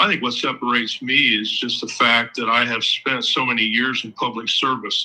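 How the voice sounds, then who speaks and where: A man speaks with a Midwestern American accent at a medium pitch. His delivery is monotone and flat, at a moderate pace. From Ohio. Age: 60s. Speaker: local political candidate. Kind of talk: interview. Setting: live show.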